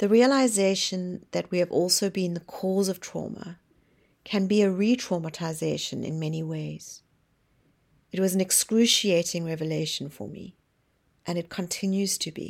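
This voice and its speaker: A woman speaks in a normal speaking voice at medium pitch and a moderate pace, with ordinary pitch variation. Her loudness swings widely, and the recording is very clean with a silent background. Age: 50s. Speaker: podcast host. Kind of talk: personal monologue.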